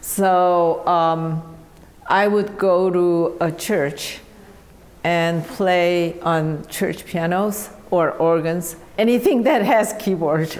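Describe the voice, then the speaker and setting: A woman's fairly low voice with a Korean accent, very slow and very even in loudness, with fairly even intonation and audible room echo. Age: 70s. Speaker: piano teacher. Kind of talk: interview. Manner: halting, many fillers.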